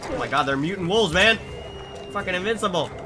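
A man is speaking. Music plays in the background. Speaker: gaming commentator. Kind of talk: casual gameplay commentary. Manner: excitable, swearing.

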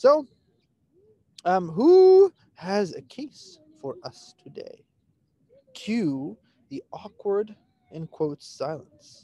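A man speaks at a very slow pace with long, frequent pauses and big swings in loudness, in a dry sound with no echo. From Pakistan. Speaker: physician educator. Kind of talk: interactive case discussion. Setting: outdoors at a dog park on a video call. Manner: animated. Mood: playful, joking. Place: garden. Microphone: video call.

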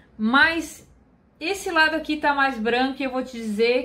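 A woman is speaking. Her pace is moderate. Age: 30s. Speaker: beauty youtuber. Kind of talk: product review vlog. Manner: chatty.

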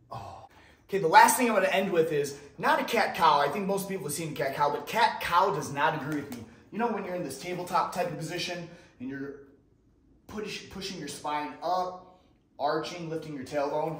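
With big swings in loudness, a man talks at a fairly quick pace amid audible room echo. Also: ordinary pitch variation. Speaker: fitness instructor. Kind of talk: tutorial. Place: empty room.

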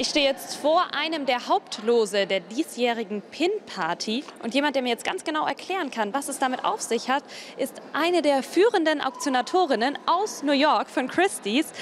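Speaking at a moderate pace with hardly any pauses, a woman uses a high pitch against light background noise. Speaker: TV reporter. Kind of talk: news report presentation. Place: hall. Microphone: handheld.

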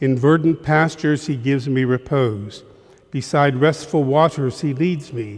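With ordinary pitch variation and a fairly slow pace, a man talks in a somewhat breathy voice. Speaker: priest reading at Mass. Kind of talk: liturgical reading. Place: church. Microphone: headset.

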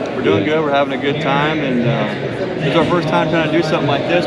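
Loud background noise fills the recording. Over it, a man speaks at a very fast pace. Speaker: farm booth vendor. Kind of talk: casual interview answer. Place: hall. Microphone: phone near.

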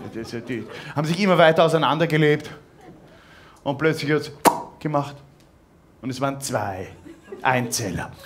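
A man speaks at a moderate pace with a fairly high pitch and ordinary pitch variation. Long, frequent pauses and light background noise run through the clip. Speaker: cabaret artist. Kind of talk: cabaret stage performance. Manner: hesitant, halting, ironic. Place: stage. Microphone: headset.

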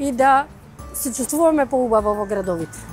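A woman at a fairly quick pace, dry with no echo, over faint music in the background. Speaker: interviewee. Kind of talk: interview answer. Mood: calm, engaged, slight laugh. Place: street. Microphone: lapel.

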